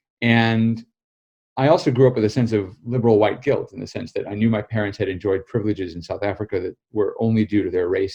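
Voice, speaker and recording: A man with an American accent talks very fast in a fairly low, somewhat breathy voice with a dark, mellow tone. His intonation is fairly even, and the background is quiet. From United States. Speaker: political journalist and author. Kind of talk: interview.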